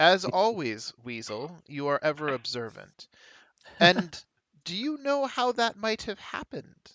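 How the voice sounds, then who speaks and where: Someone puts on a character voice at a middle pitch with very wide pitch swings. The pace is fairly slow. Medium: actual play.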